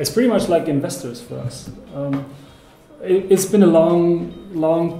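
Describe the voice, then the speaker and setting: There is audible room echo and faint music in the background as a man speaks. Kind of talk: interview answer. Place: meeting room.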